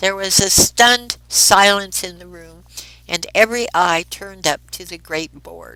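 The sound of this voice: Reading aloud in an unforced voice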